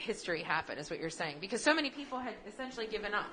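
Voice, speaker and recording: The voice has a bright, sharp tone and speaks with an American accent. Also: woman. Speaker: podcast co-host. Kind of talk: casual chat.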